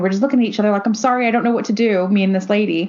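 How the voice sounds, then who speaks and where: A woman with an American accent speaks at a medium pitch in an animated tone over noticeable background noise. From United States. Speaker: podcast co-host. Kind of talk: casual chat.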